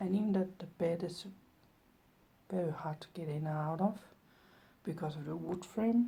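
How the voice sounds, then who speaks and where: A woman is soft-spoken and somewhat breathy. Her tone is dark and mellow, her pitch fairly low. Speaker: vlogger and artist. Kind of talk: casual vlog.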